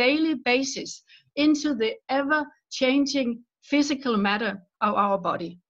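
A woman speaks at a high pitch with lively intonation. Her pace is fairly slow. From Denmark. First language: Danish. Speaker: author. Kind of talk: interview.

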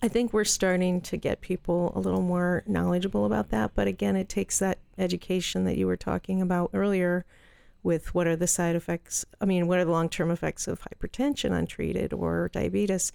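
Speaking at a fairly quick pace, a woman keeps her loudness very even. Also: very clean recording, silent background. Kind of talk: casual panel discussion.

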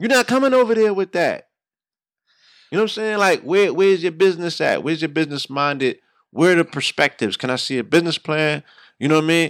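A man's high, animated voice at a very fast pace with lively intonation, in a very clean recording with a silent background and a dry, close sound with no echo. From New York, the Bronx. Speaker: radio host and hip-hop artist. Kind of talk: casual chat.

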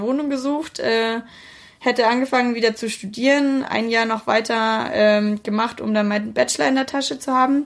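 On a very clean recording with a silent background, a woman speaks at a moderate pace in a fairly high pitch with ordinary pitch variation. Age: 20s. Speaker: podcast co-host, student. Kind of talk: casual chat.

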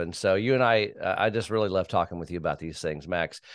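Over a quiet background, a man speaks in an ordinary speaking voice, fairly low in pitch with ordinary pitch variation. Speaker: podcast host. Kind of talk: interview discussion on a church topic.

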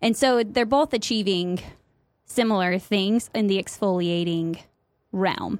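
With a Midwestern accent, a woman talks at a fairly slow pace on a very clean recording with a silent background. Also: medium pitch for a woman, ordinary pitch variation, very even loudness. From US Midwest. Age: 30s. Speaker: podcast co-host. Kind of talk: casual chat.

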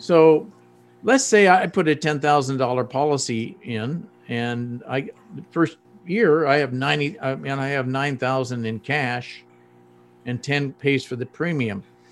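A man with a fairly high voice talks very slowly, his pitch rising and falling in an ordinary way. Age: 70s. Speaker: retired army dentist and author. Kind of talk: interview conversation.

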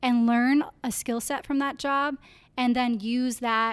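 With an Upper Midwest accent, a woman talks at a fairly slow pace in a high pitch with fairly even intonation, in a very clean recording with a silent background. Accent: Upper Midwest American. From Iowa (Clear Lake). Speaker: university entrepreneurship program coordinator. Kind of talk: interview.

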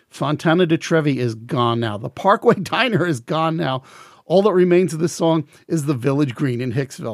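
Fairly high-pitched male voice with a Long Island accent and lively intonation, on a very clean recording over a silent background. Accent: New York (Long Island). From Long Island, New York. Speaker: music podcast host. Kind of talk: podcast monologue. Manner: fast.

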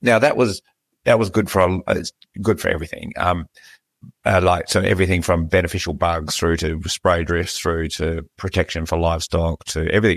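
Recorded very cleanly with a silent background and a dry, close sound with no echo, a man talks fairly quickly in a very deep, low pitch with ordinary pitch variation. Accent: Australian. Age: 50s. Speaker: podcast host. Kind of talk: interview conversation.

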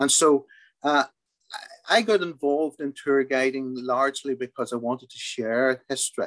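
A man talks with a Derry accent at a fairly high pitch. The sound is dry and close, with no echo. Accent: Northern Irish (Derry). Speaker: tour guide. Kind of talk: interview.

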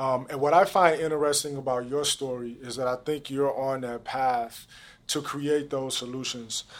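In a very clean recording with a silent background, a man with an American accent uses a normal speaking voice. His pitch is fairly high and his pace moderate. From St. Louis, Missouri (Jennings). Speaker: podcast host. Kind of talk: interview. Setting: studio.

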